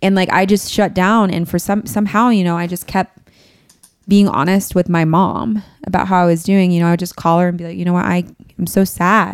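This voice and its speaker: A woman with an unremarkable speaking voice, a medium pitch, fairly even intonation, and a fairly quick pace. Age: 20s. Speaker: podcast guest in pastoral career. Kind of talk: personal testimony in casual chat.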